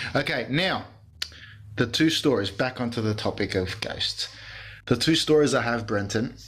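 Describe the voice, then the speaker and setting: An animated man with an Australian accent, medium in pitch with ordinary variation, at a moderate pace with long, frequent pauses. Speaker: podcast host. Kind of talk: casual chat.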